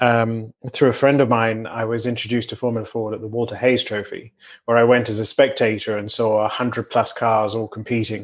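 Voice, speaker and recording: With a British accent, a man talks at a fairly quick pace and medium pitch, his intonation monotone and flat, with hardly any pauses and a quiet background. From Britain. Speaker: racing driver. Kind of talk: podcast interview.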